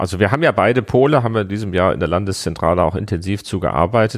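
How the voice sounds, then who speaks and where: Vocal fry runs through this man's fairly low voice, set against lively intonation. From Hesse, Germany. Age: 40s. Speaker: director of a political education agency. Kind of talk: interview. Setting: office.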